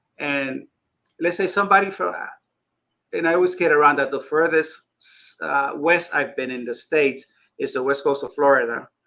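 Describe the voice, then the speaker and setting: With a Spanish accent and a bright, sharp tone, a man speaks at a fairly high pitch and moderate pace, with ordinary pitch variation and long, frequent pauses. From Dominican Republic. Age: 60s. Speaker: fishkeeping YouTuber. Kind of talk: casual chat.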